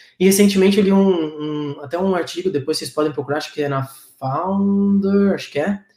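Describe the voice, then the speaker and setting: Pitch variation is ordinary for this male speaker. He moves along at a fairly quick pace. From Florianópolis, Brazil. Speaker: startup co-founder. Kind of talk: online panel discussion. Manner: halting, many fillers.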